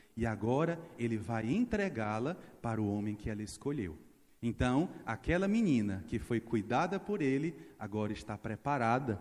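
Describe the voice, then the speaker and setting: A man at medium pitch, with lively intonation and a fairly slow pace. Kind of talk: sermon. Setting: church. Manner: animated.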